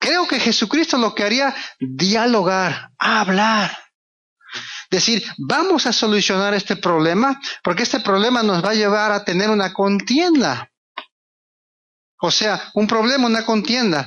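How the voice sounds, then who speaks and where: Pauses are long and frequent. The delivery is fairly slow. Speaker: preacher. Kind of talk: sermon.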